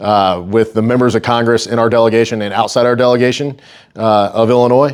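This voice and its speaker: Talking at a fairly quick pace, a man uses a normal speaking voice at medium pitch with fairly even intonation. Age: 30s. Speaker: strength coach and gym owner. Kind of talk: talk to a local group. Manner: casual, filler-heavy.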